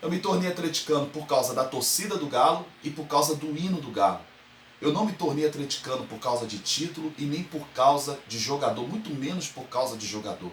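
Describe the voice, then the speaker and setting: A man with a Carioca accent, fairly high pitch, an animated tone and lively intonation, at a fairly quick pace with big swings in loudness over noticeable background noise. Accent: carioca (Rio de Janeiro) Brazilian Portuguese. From Brazil, Rio de Janeiro. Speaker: football fan commentator, online show host. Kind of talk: opinion monologue to camera.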